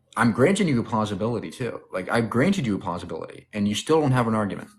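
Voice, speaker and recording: Speaking at a very fast pace, a man with a medium pitch sounds somewhat breathy and uses lively intonation. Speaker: atheist debate streamer. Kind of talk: heated debate. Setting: livestream. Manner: assertive, interrupting.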